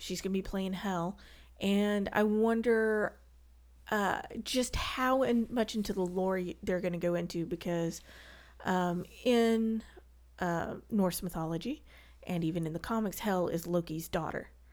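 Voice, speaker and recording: A woman with a Southern US accent, at a fairly slow pace. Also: medium pitch for a woman, ordinary pitch variation, very clean recording, silent background. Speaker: guest, movie and comics fan. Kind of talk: casual chat.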